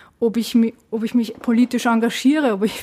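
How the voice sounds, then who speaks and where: A woman's fairly high voice at a moderate pace. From Austria, Vienna. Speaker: political scientist. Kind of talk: interview. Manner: hesitant, many fillers.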